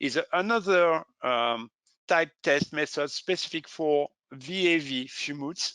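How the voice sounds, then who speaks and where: Very slow speech from a man with a French accent, fairly high pitch, ordinary pitch variation, bright and sharp tone, dry and close sound with no echo, quiet background. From France. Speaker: safety equipment specialist. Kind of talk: webinar presentation. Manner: halting.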